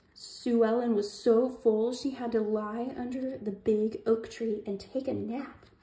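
Fairly even intonation in a natural reading voice

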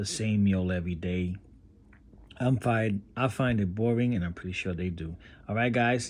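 Using a fairly low pitch with ordinary pitch variation, a man talks at a moderate pace. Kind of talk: casual pet vlog narration. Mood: upbeat, enthusiastic. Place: home room. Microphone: phone near.

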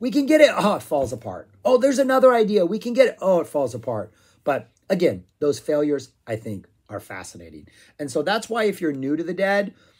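Against a quiet background, a man with a high pitch talks at a fairly quick pace, with very wide pitch swings and big swings in loudness. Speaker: music reviewer. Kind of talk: casual vlog chat. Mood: enthusiastic. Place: home room. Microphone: phone near.

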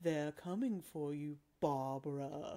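Delivered fairly slowly, the put-on character voice stays in a low-to-middle pitch. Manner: creepy, menacing.

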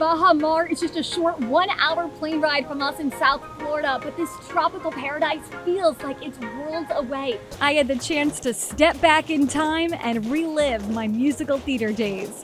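The speaker sounds upbeat and energetic at a moderate pace, with ordinary pitch variation. Clear music plays in the background, and the sound is dry with no echo. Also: woman, high pitch for a woman. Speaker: TV host and reporter. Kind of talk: TV host reel, on-camera presenting. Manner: upbeat, energetic, bright.

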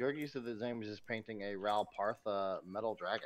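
Speech moves along at a moderate rate. The pitch shifts in an ordinary way. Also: man. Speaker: stream sound technician; miniature painter streamer. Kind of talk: casual chat. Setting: remote audio via Discord. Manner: loud. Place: home room.

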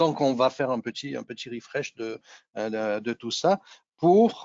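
A man speaks with lively intonation, the sound dry with no echo and the background quiet. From Nice, southeast France. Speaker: technical presenter, engineer. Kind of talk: technical webinar presentation. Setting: video call webinar.

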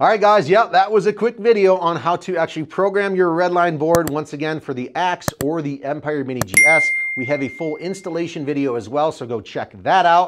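At a fairly quick pace, a man speaks over light background noise. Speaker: presenter. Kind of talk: tutorial outro. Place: studio.

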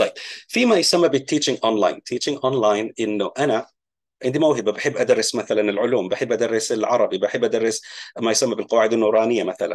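A man talks fairly quickly with a quiet background behind him. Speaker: online business educator. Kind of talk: tutorial.

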